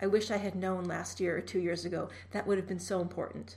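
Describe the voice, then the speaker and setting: With an American accent and some vocal fry, a woman talks at a fairly quick pace and a medium pitch. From Massachusetts, Boston area. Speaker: nonprofit fundraising executive. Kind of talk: interview. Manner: soft-spoken.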